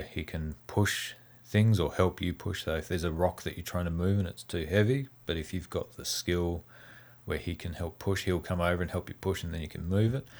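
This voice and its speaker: A man's very deep, low voice with an Australian accent at a moderate pace. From Tasmania. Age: 40s. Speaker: game developer. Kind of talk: interview.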